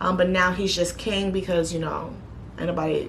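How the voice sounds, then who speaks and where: Fairly quick female speech amid noticeable background noise and audible room echo. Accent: New York. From New York City (Bronx, Queens). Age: 30s. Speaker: YouTuber. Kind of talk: casual Q&A vlog.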